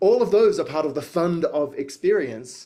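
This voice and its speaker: With an Australian accent, a man talks at a moderate pace. His intonation is lively. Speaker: futurist and educator. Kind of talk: talk to audience. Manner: hesitant, many fillers.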